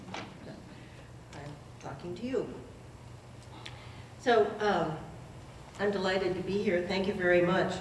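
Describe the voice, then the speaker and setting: A woman speaks at a very slow pace with long, frequent pauses, a medium pitch and ordinary pitch variation. Audible room echo and noticeable background noise are present. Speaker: history lecturer. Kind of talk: public lecture.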